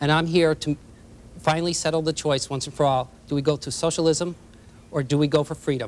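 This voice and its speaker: Monotone and flat, a man speaks at a fairly high pitch. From United States, Polish immigrant family. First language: Polish. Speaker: political candidate, fire chief. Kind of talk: political debate. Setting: televised debate studio.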